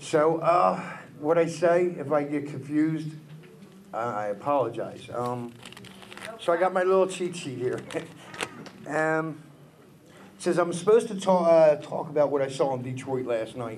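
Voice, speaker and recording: A man with a Philadelphia accent speaks at a fairly high pitch, with long, frequent pauses. Audible room echo and noticeable background noise are present. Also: ordinary pitch variation. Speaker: taxi driver and speaker. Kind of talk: public speech. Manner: fast.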